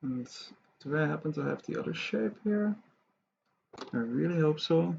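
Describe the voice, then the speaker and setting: Soft-spoken and fairly high in pitch, a man talks at a moderate pace with long, frequent pauses. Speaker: 3D art tutorial creator. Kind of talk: tutorial. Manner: quiet, soft-spoken.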